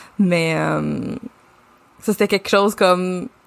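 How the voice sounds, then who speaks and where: A woman with a Quebec accent. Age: 30s. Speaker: podcast co-host, branding agency founder. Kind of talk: casual chat.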